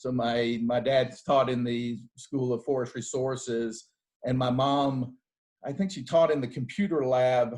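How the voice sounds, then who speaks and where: Speaking with a Southern US accent, a man talks at a fairly slow pace with fairly even intonation and a medium pitch. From US South, Athens, Georgia. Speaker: bank executive. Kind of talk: fireside chat. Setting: video call from home. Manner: halting, repeats words.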